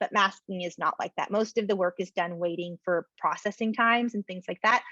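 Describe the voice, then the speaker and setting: Recorded dry and close with no echo over a quiet background, a woman talks at a fairly quick pace. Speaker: product specialist presenting a webinar. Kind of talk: webinar Q&A. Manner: fast; animated.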